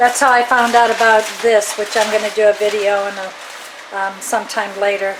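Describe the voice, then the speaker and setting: A woman speaks at a moderate pace in a fairly high voice, her intonation flat and monotone, with long, frequent pauses, noticeable background noise and audible room echo. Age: 60s. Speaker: cooking channel host. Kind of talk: casual cooking demonstration chat. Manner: halting, many fillers.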